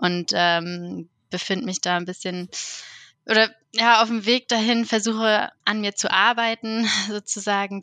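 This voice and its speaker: At a fairly slow pace, a woman with a bright, sharp tone keeps a fairly even intonation in a dry, close sound with no echo. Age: 30s. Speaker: therapy client. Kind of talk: personal conversation. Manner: hesitant.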